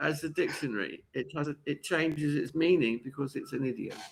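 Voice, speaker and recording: A man with a London accent and ordinary pitch variation. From London, England. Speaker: online English tutor. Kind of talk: casual online lesson. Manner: halting.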